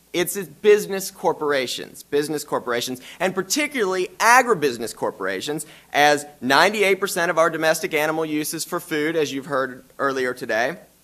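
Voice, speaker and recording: In a Southern US accent, a man talks at a fairly quick pace with hardly any pauses. His fairly high voice has a bright, sharp tone and lively intonation. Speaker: law professor. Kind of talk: conference presentation.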